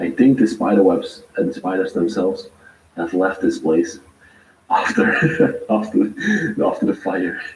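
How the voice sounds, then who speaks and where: Long, frequent pauses mark a man's speech over noticeable background noise. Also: fairly slow pace. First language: not English. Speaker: urban explorer vlogger. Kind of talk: live tour narration.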